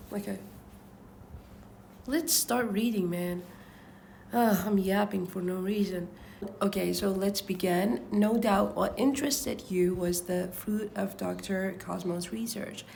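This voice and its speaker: Speaking at a fairly slow pace with long, frequent pauses, a woman with a non-native accent and medium pitch uses lively intonation amid audible room echo. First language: not English. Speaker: book reader vlogger. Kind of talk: casual chat and reading aloud. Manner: halting, stumbling over words.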